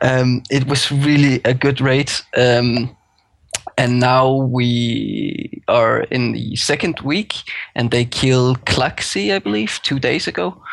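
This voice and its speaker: A man with a Danish accent, very slow delivery and ordinary pitch variation. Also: medium pitch for a man. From Denmark. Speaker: guest, game guild raider. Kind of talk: casual podcast discussion.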